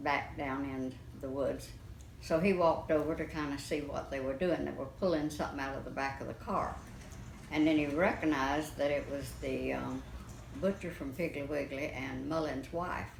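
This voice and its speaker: In an American accent, a woman speaks at a moderate pace with fairly even intonation. Her pitch is very deep and low, with vocal fry. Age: 80s+. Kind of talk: interview answer.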